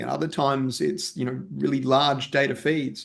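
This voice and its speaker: A man talks with an Australian accent. Vocal fry runs through his voice. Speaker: technology executive, storage company CTO. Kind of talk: panel discussion.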